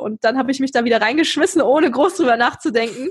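Her tone animated and her intonation lively, a woman speaks at a very fast pace. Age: 20s. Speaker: podcaster and university student. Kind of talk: casual interview.

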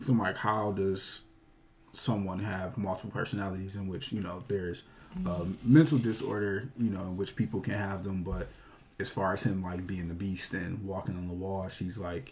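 The man's fairly low, somewhat breathy voice moves at a moderate pace with fairly even intonation. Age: 20s. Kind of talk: casual chat.

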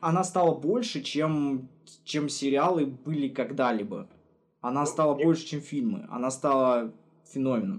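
A man's lively intonation and fairly high pitch come through at a moderate pace. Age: 20s. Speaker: podcast co-host. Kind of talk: casual chat. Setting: remote call. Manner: animated.

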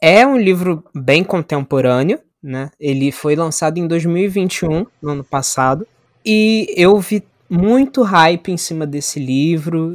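A man speaks at a very slow pace with lively intonation, in a dry, close sound with no echo. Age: 20s. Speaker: media studies graduate and photographer. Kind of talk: casual chat.

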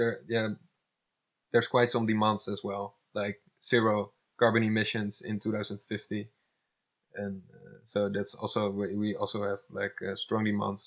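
Monotone, flat intonation comes at a fairly slow pace in a Dutch accent. Long, frequent pauses break up the speech. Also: man, fairly low pitch for a man, big swings in loudness. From Netherlands. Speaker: climate activist. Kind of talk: casual chat. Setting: eco village in Spain. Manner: hesitant, many fillers.

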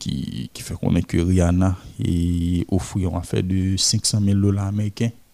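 A man's very deep, low voice with a dark, mellow tone and ordinary pitch variation, in a dry, close sound with no echo. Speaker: culture reporter. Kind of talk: radio culture news segment. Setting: studio.

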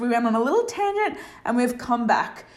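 A woman speaks with a high pitch at a fairly slow pace. The room echo is audible. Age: 30s. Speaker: life coach and podcast host. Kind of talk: solo podcast monologue.

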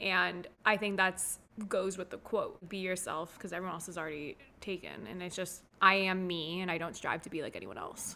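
In an American accent, a woman talks at a moderate pace with a bright, sharp tone, vocal fry and big swings in loudness on a very clean recording with a silent background. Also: medium pitch for a woman. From South Florida, US. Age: 20s. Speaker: therapist for foster children. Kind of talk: casual interview chat. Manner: bubbly, animated.

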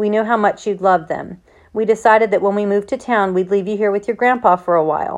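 With fairly even intonation, the passage comes through in an unforced reading voice.

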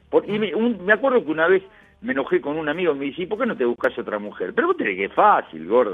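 A man with a Rioplatense accent talks at a very fast pace. Noticeable background noise runs behind him. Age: 70s. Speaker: retired radio host. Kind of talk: interview.

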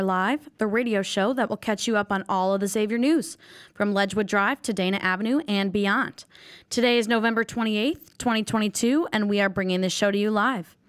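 With a plain, everyday voice, a woman speaks at a medium pitch and a fairly quick pace, with ordinary pitch variation, on a very clean recording with a silent background. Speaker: student radio host. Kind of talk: live student radio show host.

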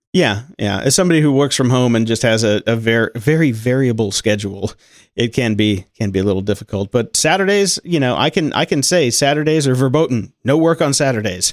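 Here a man has an ordinary speaking voice at a medium pitch, with lively intonation and very even loudness. He talks fairly quickly on a very clean recording with a silent background. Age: 40s. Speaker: podcast editor. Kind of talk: casual interview.

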